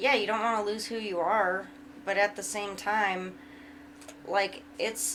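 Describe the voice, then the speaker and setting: The speech is mumbled and fairly slow. Its pitch varies in an ordinary way. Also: woman. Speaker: podcast co-host. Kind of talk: casual chat. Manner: mumbling.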